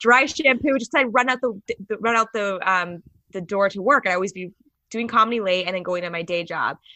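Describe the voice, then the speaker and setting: Using a plain, everyday voice, a woman with an American accent talks at a fairly quick pace with ordinary pitch variation. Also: fairly high pitch for a woman. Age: 30s. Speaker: comedian. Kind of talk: casual chat. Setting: video call.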